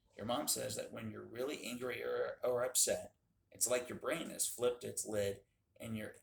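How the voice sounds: Someone reads in a natural voice.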